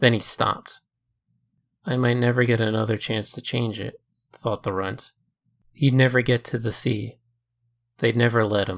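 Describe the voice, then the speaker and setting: A man's medium-pitched voice at a moderate pace, fairly even in intonation, with long, frequent pauses. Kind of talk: short story reading.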